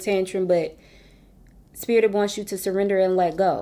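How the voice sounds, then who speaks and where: A woman's normal speaking voice, medium in pitch, at a moderate pace. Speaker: tarot reader. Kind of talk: tarot reading. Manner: casual, conversational.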